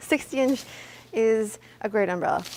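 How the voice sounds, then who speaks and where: A woman with a Canadian accent has an unremarkable speaking voice with ordinary pitch variation. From Canada, Hamilton Ontario. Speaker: photographer. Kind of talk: tutorial.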